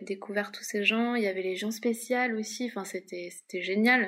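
A woman talks at a fairly slow pace in a fairly high pitch with monotone, flat intonation. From Paris, France. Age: 30s. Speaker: freelance illustrator. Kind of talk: casual interview.

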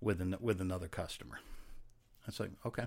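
Talking at a fairly quick pace, a man uses lively intonation with vocal fry. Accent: American. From Rhode Island, US. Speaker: actor and former detective. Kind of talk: casual chat.

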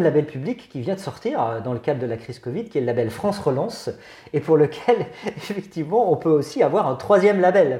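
Against noticeable background noise, a man talks at a fairly quick pace with a fairly high pitch and very wide pitch swings. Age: 50s. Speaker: head of a finance association. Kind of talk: interview. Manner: hesitant, many filler sounds.

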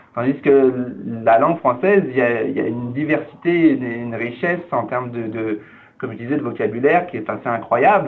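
A man's voice of medium pitch, with ordinary pitch variation. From France. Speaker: cultural organization director. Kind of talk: interview. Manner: halting.

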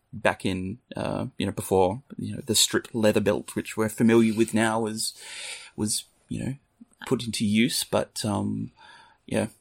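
A man with an Australian accent at a fairly slow pace, dry and close with no echo, on a very clean recording with a silent background. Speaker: true crime podcast co-host. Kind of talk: casual chat.

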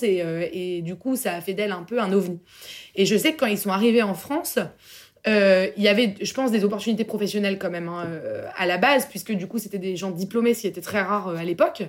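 An unremarkable speaking voice, fairly quick in tempo and ordinary in its pitch variation. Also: woman. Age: 20s. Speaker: entrepreneur. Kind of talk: casual chat.

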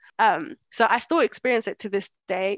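The speech moves at a moderate pace in a London accent. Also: woman. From born in Kenya, raised in London. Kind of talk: casual interview chat.

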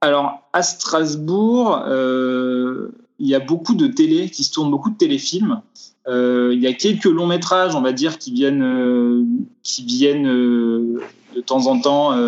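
A man's very slow speech with lively intonation. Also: fairly high pitch for a man. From France, Vosges. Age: 20s. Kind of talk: interview. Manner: halting.

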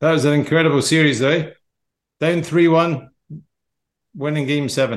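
A man speaks at a moderate pace. His fairly high voice keeps fairly even intonation. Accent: Scottish. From Scotland. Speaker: podcast host and golf coach. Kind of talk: casual chat.

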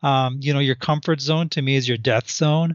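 This man has an ordinary speaking voice, pitched fairly high for a man. He talks at a moderate pace with ordinary pitch variation. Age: 50s. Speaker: author and math educator. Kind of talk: interview.

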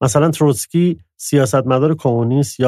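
A man's dark, mellow tone moves along at a fairly quick pace. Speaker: literary podcast co-host. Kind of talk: scripted narration.

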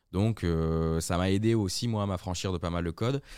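A man's very deep, low voice with ordinary pitch variation at a moderate pace, on a very clean recording with a silent background. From southern France (Aix/Marseille). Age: 30s. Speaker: advertising community manager. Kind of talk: casual chat.

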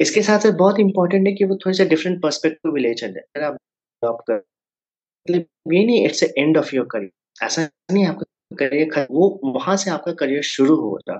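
A man talks at a moderate speed in a high pitch, his intonation lively. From Jharkhand, India (Jamshedpur). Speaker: career counselor and startup founder. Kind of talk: podcast interview. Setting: virtual studio.

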